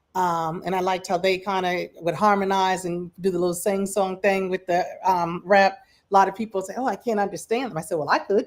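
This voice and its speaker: Someone with an American accent talks at a fairly quick pace with hardly any pauses on a very clean recording with a silent background. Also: woman, medium pitch for a woman. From Michigan, US Midwest. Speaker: livestream music show host. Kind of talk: casual chat. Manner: animated.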